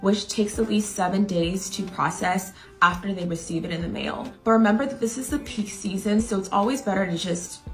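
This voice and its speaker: A woman talks at a fairly quick pace with hardly any pauses. Faint music plays in the background. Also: ordinary pitch variation. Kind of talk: tips tutorial to camera. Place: home room.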